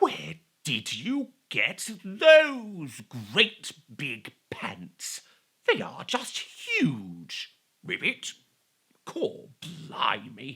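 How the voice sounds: A man whispers in a put-on character voice that sounds croaky. His delivery is very slow.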